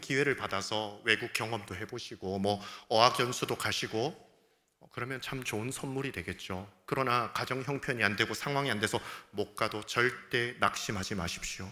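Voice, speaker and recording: A man's medium-pitched, bright, sharp, animated voice at a moderate pace, with ordinary pitch variation and big swings in loudness, on a very clean recording with a silent background. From South Gyeongsang, Korea (Changwon). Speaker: pastor. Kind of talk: sermon.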